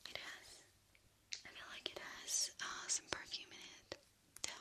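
Female speech, fairly slow in pace. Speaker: ASMR creator. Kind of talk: casual soft-spoken chat. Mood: happy, cheerful. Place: home room. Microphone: studio mic.

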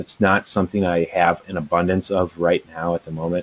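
Here a man is talking. He keeps a moderate pace. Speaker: remote podcast guest. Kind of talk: interview answer. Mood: relaxed, smiling. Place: home room.

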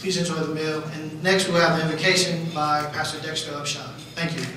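A man speaks at a moderate pace, with strong room echo and light background noise behind him. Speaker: event host. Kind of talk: formal welcome speech. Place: hall.

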